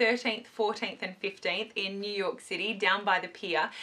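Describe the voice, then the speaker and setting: The pace is moderate. It's a woman's voice. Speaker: beauty vlogger. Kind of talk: casual vlog chat. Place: home room. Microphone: camera far.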